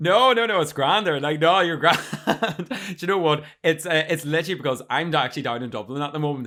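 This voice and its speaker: A man with a Northern Irish accent at a fairly quick pace, with ordinary pitch variation. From Northern Ireland, County Armagh. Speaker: podcast host. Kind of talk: casual chat. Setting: video call.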